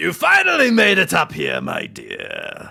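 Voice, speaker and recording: In a put-on character voice, a man speaks gruff and raised, projecting at a fairly slow pace. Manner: menacing, unsettling.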